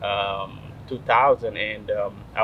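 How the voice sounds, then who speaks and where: A man's voice against noticeable background noise. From Eritrea. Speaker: city councilman. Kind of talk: interview. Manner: hesitant, many fillers.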